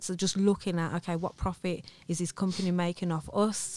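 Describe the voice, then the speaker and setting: A woman in a Birmingham accent speaks at a moderate pace in a fairly low voice. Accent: Birmingham, England. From Birmingham, England. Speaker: entrepreneur, former estate agent owner. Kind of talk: casual interview chat.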